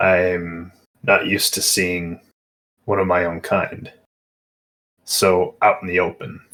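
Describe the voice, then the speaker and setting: A man puts on a character voice that is raspy and very deep and low, going at a fairly slow pace with long, frequent pauses. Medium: actual play. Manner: terse, measured.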